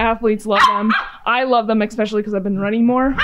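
A woman talks with fairly even intonation. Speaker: chiropractor. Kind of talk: casual vlog chat. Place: gym. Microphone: phone near.

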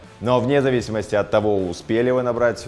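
This man talks while faint music plays behind him. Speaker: channel host. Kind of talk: sponsored ad read to camera. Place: home room.

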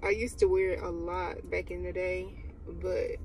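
The sound is dry, with no echo. A woman speaks over light background noise. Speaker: vlogger on work break. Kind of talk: casual vlog chat. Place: car. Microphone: phone near.

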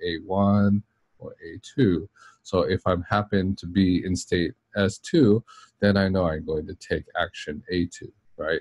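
A somewhat breathy man's voice at a fairly low pitch, dry with no echo, over a quiet background. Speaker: university lecturer. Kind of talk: lecture. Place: office.

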